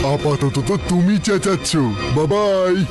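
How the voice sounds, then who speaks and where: Over loud music in the background, a man puts on a character voice with high pitch. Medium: fan dub.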